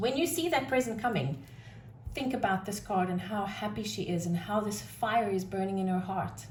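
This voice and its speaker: A woman at medium pitch with lively intonation and a moderate pace, plus audible room echo and noticeable background noise. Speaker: tarot reader. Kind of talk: tarot reading monologue. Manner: loud; animated.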